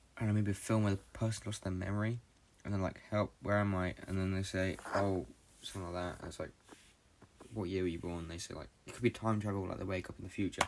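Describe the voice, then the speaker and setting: A man with a British accent speaks very rapidly in a very deep, low voice, his intonation fairly even. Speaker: podcast host. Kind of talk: casual monologue. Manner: fast; halting.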